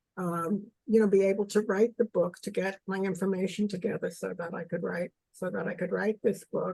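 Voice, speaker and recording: A woman's medium-pitched, dark, mellow voice with vocal fry, monotone and flat in intonation, at a fairly quick pace in a dry, close sound with no echo. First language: German. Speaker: author. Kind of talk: interview. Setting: video call. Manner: halting.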